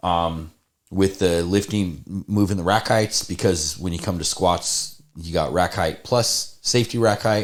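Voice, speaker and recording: On a very clean recording with a silent background, a man speaks at a fairly slow pace with a very deep, low pitch. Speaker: podcast host, powerlifter. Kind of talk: casual chat. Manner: loud; animated.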